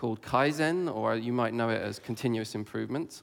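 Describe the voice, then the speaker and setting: A man with an English accent, fairly quick pace and ordinary pitch variation. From England. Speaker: conference speaker. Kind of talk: conference talk.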